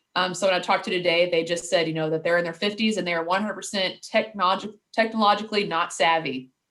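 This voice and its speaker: A woman with a Louisville accent talks very fast at a medium pitch, with hardly any pauses. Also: fairly even intonation. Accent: Louisville twang. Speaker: marketing director. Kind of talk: casual interview chat.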